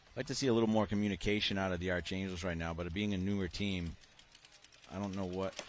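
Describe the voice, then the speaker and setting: A man with a Boston accent talks at a very fast pace in a very deep, low voice. His intonation stays fairly even. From Boston, US Northeast. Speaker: paintball commentator. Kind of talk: live commentary.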